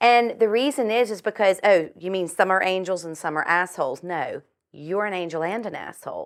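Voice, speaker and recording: On a very clean recording with a silent background, a woman speaks in an animated tone with ordinary pitch variation. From US South (Virginia). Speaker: chiropractor and metaphysical healer, author. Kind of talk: interview.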